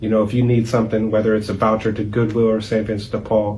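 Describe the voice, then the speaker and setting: With an American accent, a man talks at a fairly quick pace in a flat monotone, with audible room echo. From Youngstown, Ohio (South Side). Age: 40s. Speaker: nonprofit founder and executive director. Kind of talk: interview.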